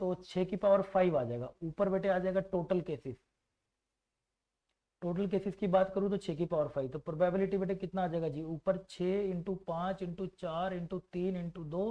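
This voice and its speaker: A man's high-pitched voice with a dark, mellow tone and fairly even intonation. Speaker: maths teacher. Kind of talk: online exam-prep lecture. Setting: faulty microphone.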